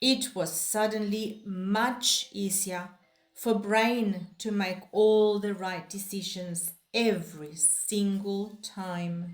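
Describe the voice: Speech moves at a slow pace with fairly even intonation, and audible room echo surrounds it. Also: woman, medium pitch for a woman.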